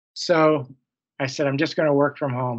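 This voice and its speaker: A fairly high-pitched man's voice with ordinary pitch variation. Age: 60s. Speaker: physician, hospital medical officer. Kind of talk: interview.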